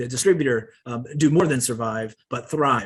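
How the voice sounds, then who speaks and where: With an American accent, a man speaks at a moderate pace and with ordinary pitch variation. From US Northeast. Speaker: company presenter. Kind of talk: sales pitch.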